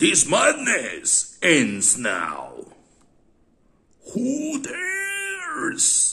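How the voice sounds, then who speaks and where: Long, frequent pauses break up a put-on character voice that moves very slowly. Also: man, extremely high pitch for a man. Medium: read story. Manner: earnest.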